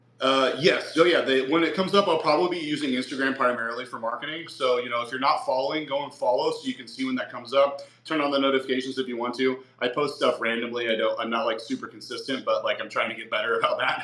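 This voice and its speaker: Over noticeable background noise, a man with an American accent and a fairly high pitch talks at a very fast pace with hardly any pauses and ordinary pitch variation. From Nebraska, US Midwest. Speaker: fitness influencer. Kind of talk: casual interview.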